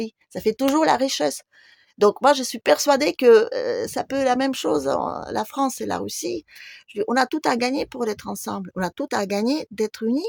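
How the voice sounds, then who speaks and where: A woman talks at a moderate pace in a very clean recording with a silent background and a dry, close sound free of echo. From Russia. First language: Russian (speaking French). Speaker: YouTuber. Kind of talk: video monologue.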